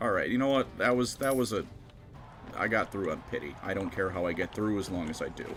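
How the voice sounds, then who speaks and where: A man's voice with ordinary pitch variation, over music in the background. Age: 20s. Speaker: gaming streamer. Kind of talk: live gameplay stream chat.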